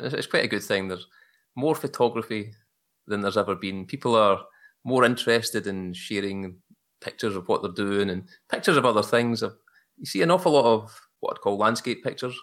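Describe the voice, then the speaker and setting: A man with a Glaswegian accent talks at a very fast pace in a medium pitch, with ordinary pitch variation and long, frequent pauses, on a very clean recording with a silent background. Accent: Glaswegian Scottish. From Glasgow, Scotland. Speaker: hobbyist photographer. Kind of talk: casual interview chat.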